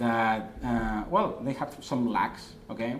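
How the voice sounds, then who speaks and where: A man talks at a fairly slow pace in a strong Spanish accent. There is audible room echo and noticeable background noise. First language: Spanish or Catalan. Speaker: online marketing consultant. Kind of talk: presentation. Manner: halting, many fillers.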